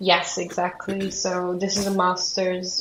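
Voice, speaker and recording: A woman speaks very slowly in a Hungarian accent. Noticeable background noise is present. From Hungary. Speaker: museum studies graduate student. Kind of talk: interview.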